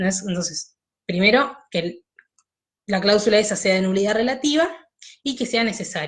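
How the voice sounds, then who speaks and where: The voice is somewhat breathy, with lively intonation. The pace is fairly quick. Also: woman. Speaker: law teacher. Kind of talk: online lecture.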